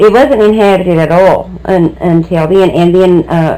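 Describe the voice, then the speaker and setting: With noticeable background noise behind her, a woman talks in an American accent. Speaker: local historian. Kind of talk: oral history interview.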